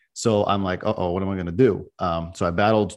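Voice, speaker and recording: A man's fairly low voice at a very fast pace, monotone and flat in intonation, against a quiet background. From Belarus and Israel. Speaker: CPA firm owner. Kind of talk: interview conversation. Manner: casual, conversational.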